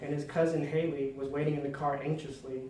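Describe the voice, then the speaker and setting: Noticeable background noise sits behind a man with a fairly high pitch. He speaks at a moderate pace in a monotone, flat intonation. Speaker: inspirational speaker. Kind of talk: speech.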